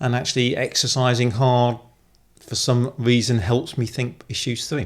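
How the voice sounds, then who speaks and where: A man with a British accent talks at a moderate pace and medium pitch on a very clean recording with a silent background. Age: 60s. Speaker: retired army officer and former CEO, amateur cyclist. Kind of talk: interview conversation.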